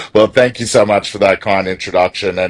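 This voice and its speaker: Speaking at a fairly quick pace, a man with an Australian accent keeps his intonation fairly even. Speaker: e-commerce software executive. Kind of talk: interview.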